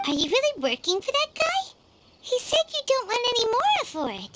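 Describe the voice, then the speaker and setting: This put-on character voice is squeaky and extremely high-pitched, with very wide pitch swings. It moves at a moderate pace. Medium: video game. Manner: inquisitive, excitable.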